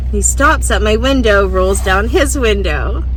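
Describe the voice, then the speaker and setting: A woman speaks at a very deep, low pitch in a monotone, flat way. Noticeable background noise is present. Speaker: vanlife YouTuber. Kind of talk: casual storytelling to camera.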